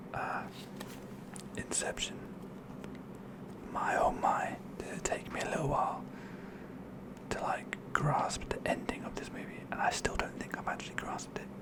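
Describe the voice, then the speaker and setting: Whispered speech broken by long, frequent pauses, with noticeable background noise. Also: moderate pace. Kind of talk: ASMR whispered show and tell. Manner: whispered, soft-spoken.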